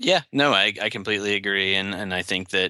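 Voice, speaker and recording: A man talks at a fairly quick pace in a bright, sharp tone against a quiet background. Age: 30s. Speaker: writer. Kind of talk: casual chat.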